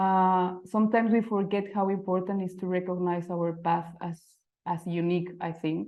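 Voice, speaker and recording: A woman with a Mexican accent speaks at a moderate pace and a medium pitch. Her intonation is monotone and flat. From Mexico City. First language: Spanish. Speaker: type designer. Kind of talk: presentation. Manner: halting.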